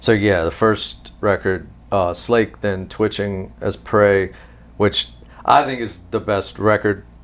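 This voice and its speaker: With a slight Southern US accent, a man speaks at a fairly low pitch with ordinary pitch variation. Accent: Southern drawl, slight. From US South, Louisiana. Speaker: musician and producer. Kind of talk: interview.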